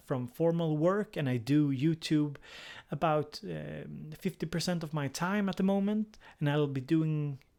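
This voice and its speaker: Someone with a Swedish accent speaks at a fairly slow pace on a very clean recording with a silent background. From Sweden. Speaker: music production YouTuber and psychotherapist. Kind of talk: live stream casual chat. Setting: live stream. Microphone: new USB microphone, briefly muted at start.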